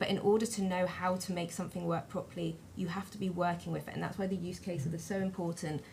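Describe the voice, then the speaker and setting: Speaking very fast in a fairly low voice, a woman with a British accent keeps a flat, monotone intonation, and room echo is audible. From Britain. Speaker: digital identity panelist. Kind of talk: panel discussion. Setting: conference stage with audience.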